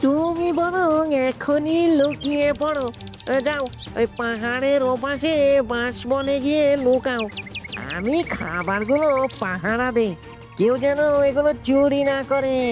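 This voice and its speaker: A cartoonish character voice goes at a fairly slow pace while clear music plays in the background. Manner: wheedling, crafty.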